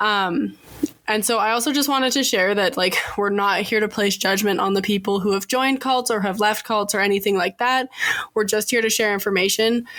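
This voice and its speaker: A woman's fairly high voice at a fairly quick pace, with fairly even intonation and noticeable background noise. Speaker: podcast co-host. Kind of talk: informal presentation.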